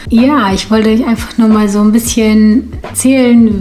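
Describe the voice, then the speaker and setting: A woman speaks in a fairly high voice with monotone, flat intonation. Music plays in the background. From Ukraine or Russia, grew up in Germany from age four. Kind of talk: casual talk to camera.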